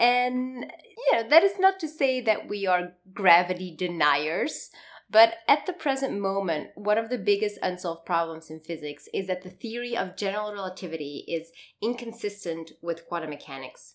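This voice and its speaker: An enthusiastic woman at a medium pitch, with lively intonation and a moderate pace, in a very clean recording with a silent background. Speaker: podcast co-host, physics researcher. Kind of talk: science podcast conversation.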